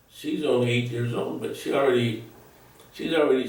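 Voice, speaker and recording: In an American accent, a man speaks with audible room echo. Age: 80s+. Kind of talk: interview. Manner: halting.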